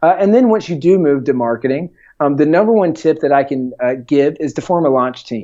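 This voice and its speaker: A man with a fairly high pitch and a slight Southern US accent. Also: lively intonation, fairly quick pace. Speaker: entrepreneur and author. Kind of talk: podcast interview. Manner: many filler words.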